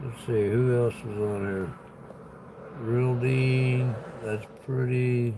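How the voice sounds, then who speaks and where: A man with an American accent, medium in pitch, very slow and flat in a monotone, with long, frequent pauses and audible room echo. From US Midwest, Illinois. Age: 60s. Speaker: livestreamer and gig worker. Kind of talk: casual live-stream chat.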